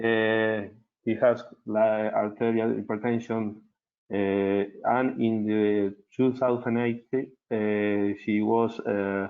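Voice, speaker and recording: In an Argentine accent, a man with a fairly low pitch talks at a very slow pace with monotone, flat intonation. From Argentina. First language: Spanish. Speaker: cardiologist. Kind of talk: medical case presentation. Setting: webinar. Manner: halting, many fillers.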